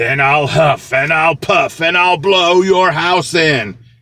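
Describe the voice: A man's growling, menacing put-on character voice, high in pitch, at a fairly slow pace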